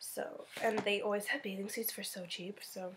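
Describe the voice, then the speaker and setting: Light background noise sits under a woman talking at a fairly slow pace. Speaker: beauty vlogger. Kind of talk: casual vlog chat. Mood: cheerful, relaxed. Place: home room. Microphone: phone near.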